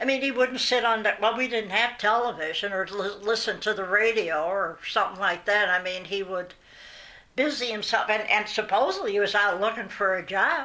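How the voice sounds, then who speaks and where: A woman speaks at a moderate pace with an American accent and a medium pitch. Her tone is bright and sharp, with ordinary pitch variation. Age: 80s+. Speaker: oral history interviewee. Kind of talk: oral history interview. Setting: at home. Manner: halting.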